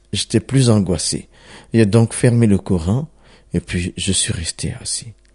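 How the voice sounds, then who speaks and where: The man speaks very slowly at a medium pitch, his dark, mellow tone somewhat breathy and his intonation lively, in a dry, close sound with no echo. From Ivory Coast. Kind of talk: testimony.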